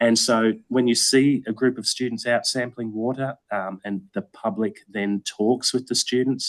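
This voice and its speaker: Speaking with an Australian accent, the voice runs on with hardly any pauses. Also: man, medium pitch for a man, dry, close sound with no echo. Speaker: environmental educator. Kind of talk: Q&A answer at online meeting. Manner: hesitant, many fillers.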